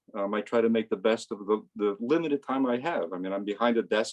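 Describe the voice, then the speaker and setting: In a plain, everyday voice, a man speaks at a moderate pace and medium pitch with ordinary pitch variation, the sound dry and close with no echo. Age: 60s. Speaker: amateur photographer and physicist. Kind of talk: casual talk about own photo. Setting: video call.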